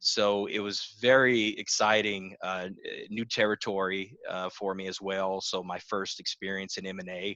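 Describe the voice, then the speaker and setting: Bright and sharp in tone, a man's fairly low voice moves at a fairly slow pace with monotone, flat intonation. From South Louisiana (New Iberia, Cajun country). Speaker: business broker and financial planner. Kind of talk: interview. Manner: frequent fillers (uh, um).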